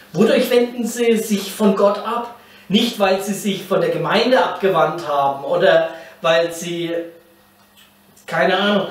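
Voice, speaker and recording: A man talks with a high pitch and ordinary pitch variation. Audible room echo surrounds his voice. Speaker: pastor teaching a Bible series. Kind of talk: sermon. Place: meeting room.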